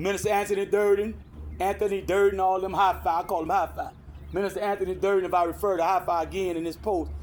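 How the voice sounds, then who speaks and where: Very fast, flat, monotone delivery with an American accent. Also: man, high pitch for a man. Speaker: online commentator on Moorish and community topics. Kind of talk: casual monologue. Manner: rambling with frequent self-corrections.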